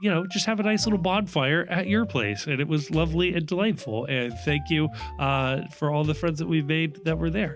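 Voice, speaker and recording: Music plays in the background as a man speaks. His voice is fairly high and his pace fairly quick. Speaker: podcast host. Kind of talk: solo podcast reading listener messages.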